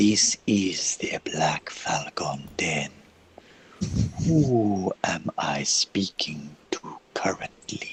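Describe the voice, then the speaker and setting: A man puts on a booming character voice with fairly low pitch. He speaks at a very slow pace, and the sound is dry and close with no echo. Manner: commanding, imposing.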